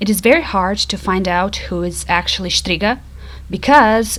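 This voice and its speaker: Against noticeable background noise, a woman with a Croatian accent speaks at a fairly slow pace. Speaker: YouTuber. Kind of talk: casual video narration.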